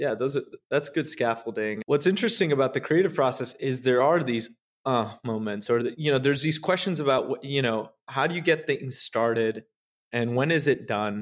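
A man's normal speaking voice, medium in pitch, at a moderate pace with ordinary pitch variation, on a very clean recording with a silent background. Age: 30s. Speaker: meditation studio co-founder. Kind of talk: casual chat.

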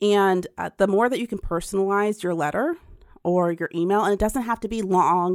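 A woman talks at a fairly quick pace with ordinary pitch variation. The recording is very clean and silent in the background, dry and close with no echo. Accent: Midwestern American. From central Ohio. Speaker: philanthropy advocate. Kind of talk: interview.

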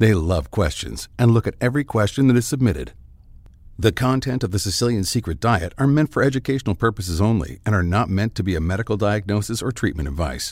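A man talks at a very fast pace in a fairly low pitch with vocal fry and lively intonation. The recording is very clean with a silent background. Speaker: podcast announcer. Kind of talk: scripted narration.

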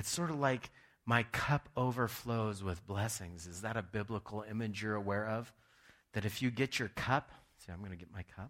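In an ordinary speaking voice, a man with a fairly low pitch talks at a moderate pace with ordinary pitch variation and big swings in loudness, in a very clean recording with a silent background. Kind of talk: sermon; fervent prayer. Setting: church. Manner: earnest, pleading, heartfelt; conversational, warm.

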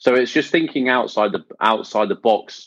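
In an ordinary speaking voice, a man talks at a moderate pace with lively intonation. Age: 40s. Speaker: podcast host, Facebook ads marketer. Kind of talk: casual chat; tutorial.

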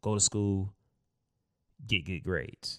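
Bright, sharp tone from a man at a fairly low pitch, in a very clean recording with a silent background and a dry, close sound without echo. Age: 30s. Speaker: podcast host. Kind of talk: casual monologue.

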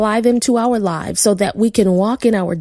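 An unforced reading voice carries the whole clip.

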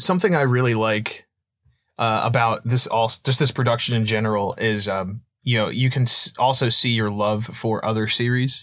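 A man talks at a moderate pace in an ordinary speaking voice, medium in pitch with fairly even intonation. The recording is very clean with a silent background, and the loudness stays very even. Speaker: voice actor. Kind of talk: casual chat.

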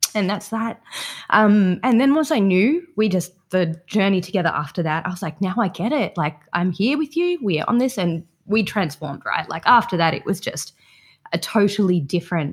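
A woman with an Australian accent speaks at a fairly quick pace, her voice somewhat breathy and her intonation lively, in a very clean recording with a silent background. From southeast Queensland, Australia. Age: young. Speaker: psychotherapy student and equine-assisted therapy provider. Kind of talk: casual interview conversation.

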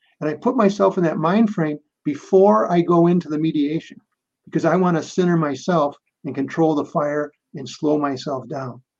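This man has an American accent and a fairly high voice. His tone is passionate, with ordinary pitch variation. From Minnesota, US. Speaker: mediator and author. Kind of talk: interview conversation. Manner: fast talker.

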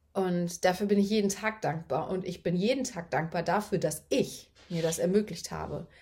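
A woman talks at a moderate pace in a medium pitch, her voice somewhat breathy with ordinary pitch variation. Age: 30s. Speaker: online business coach. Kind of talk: solo podcast monologue. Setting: recording early morning. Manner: casual, chatty.

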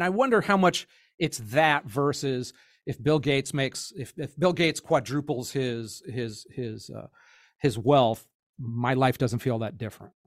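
The recording is very clean, with a silent background. A man talks at a moderate pace with lively intonation. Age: 50s. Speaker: podcast host. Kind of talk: casual chat. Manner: halting.

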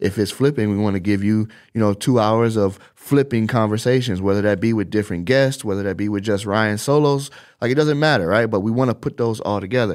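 Speaking at a fairly quick pace with ordinary pitch variation, a man has an unremarkable speaking voice with an American accent. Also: fairly low pitch for a man, very clean recording, silent background. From Chicago, US Midwest. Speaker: social media content producer. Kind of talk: talk to camera, business advice. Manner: casual, filler-heavy.

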